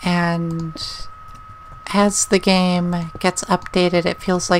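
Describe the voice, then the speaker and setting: A woman speaks in a calm tone and is soft-spoken. Noticeable background noise is present. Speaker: gaming YouTuber. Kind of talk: let's play commentary.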